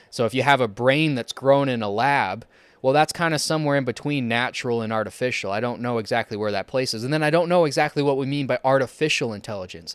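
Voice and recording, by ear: A man speaks at a fast pace with a medium pitch, a clear, smooth tone and ordinary pitch variation.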